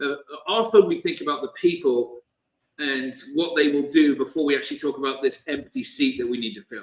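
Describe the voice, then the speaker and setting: A man speaks at a fairly quick pace with a British accent. His pitch is fairly high, and it varies an ordinary amount. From Britain. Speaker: company CEO and author. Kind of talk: interview. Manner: hesitant with many fillers.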